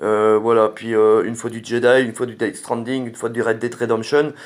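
A man at a medium pitch, monotone and flat in intonation, at a moderate pace, in a very clean recording with a silent background. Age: 40s. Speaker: gaming YouTuber. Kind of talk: channel update to viewers. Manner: hesitant, many fillers.

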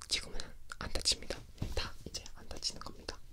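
A man whispers. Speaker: ASMR creator. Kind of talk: casual ASMR chat. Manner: soft close-mic ASMR talk. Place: home room. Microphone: studio mic.

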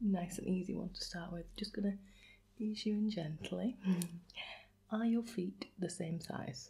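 The tone is dark and mellow, somewhat breathy, with ordinary pitch variation. The pace is fairly slow. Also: woman. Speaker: quiz host. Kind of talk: casual to-camera chat asking quiz questions. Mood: warm, playful, gentle. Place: home room. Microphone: phone near.

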